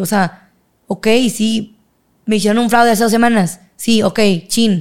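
A woman with an ordinary speaking voice talks at a moderate pace. Her pitch is fairly high. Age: 20s. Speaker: university student and cycling coach. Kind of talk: casual interview.

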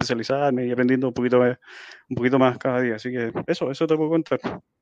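Speaking with a Chilean accent, a man at medium pitch comes through with a dry, close sound and no echo. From Chile, Santiago. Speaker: marine biologist and IT graduate student. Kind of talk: casual interview. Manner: halting, many repetitions and fillers.

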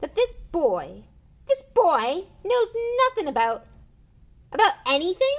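Woman's put-on character voice at an extremely high pitch, fairly slow, with long, frequent pauses. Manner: angry.

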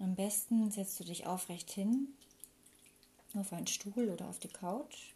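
A woman speaks at a fairly slow pace in a calm, soothing tone, her medium-pitched voice dark, mellow and somewhat breathy. Her pitch varies in an ordinary way. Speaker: meditation guide. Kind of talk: guided meditation. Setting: recorded with flowing water sound in background. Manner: slow, calm, soothing; gentle, unhurried with long pauses.

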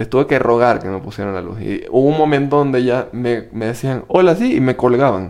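With hardly any pauses, a man talks at a medium pitch. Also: ordinary pitch variation, fairly quick pace. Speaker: podcast co-host. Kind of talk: casual chat. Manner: speaks very quietly.

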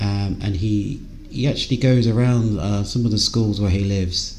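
This man talks with an English accent. His pace is moderate. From England. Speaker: podcast host. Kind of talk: interview; scripted intro. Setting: call.

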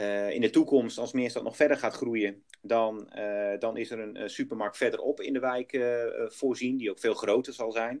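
A man in a normal speaking voice, medium pitch, moderate pace. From Netherlands, Groningen. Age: 40s. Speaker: project developer. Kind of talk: business interview. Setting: outdoors on site.

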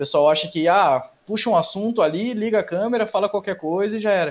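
A plain, everyday voice from a man at a fairly quick pace, with ordinary pitch variation. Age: 30s. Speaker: podcast host. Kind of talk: casual chat.

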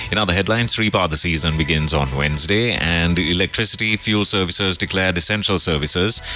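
A man with a very deep, low pitch at a very fast pace, hardly any pauses, very even loudness and ordinary pitch variation, with music in the background

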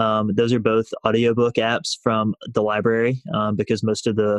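With a Southern US accent, a man speaks at a moderate pace and medium pitch in a monotone, flat intonation, the sound dry and close with no echo. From US South, rural north Alabama. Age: 20s. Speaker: financial independence blogger. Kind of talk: casual interview.

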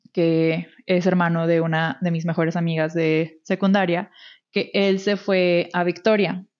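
A woman with a Mexican accent, at a fairly slow pace and in a monotone, flat intonation. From Mexico. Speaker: podcast co-host. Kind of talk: casual chat.

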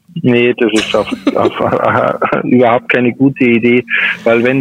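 A man speaks at medium pitch with monotone, flat intonation. Noticeable background noise sits behind him. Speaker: pest control expert. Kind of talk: phone interview.

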